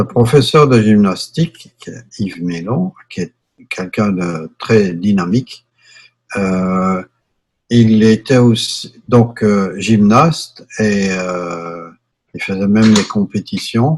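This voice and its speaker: This man's voice is fairly low, with ordinary pitch variation. He speaks at a very slow pace. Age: 60s. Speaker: yoga teacher. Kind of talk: interview. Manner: hesitant with fillers.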